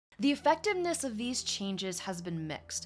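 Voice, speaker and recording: A woman at a moderate pace, with music playing in the background. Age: 30s. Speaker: podcast host. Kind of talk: reading aloud; casual commentary.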